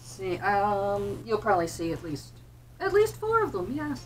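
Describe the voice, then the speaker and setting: A woman with an American accent speaks at a moderate pace. Noticeable background noise and audible room echo surround her voice. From New Jersey, US. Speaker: hobby vlogger, medical-system tech worker. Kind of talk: casual chat. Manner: chatty, many filler ums.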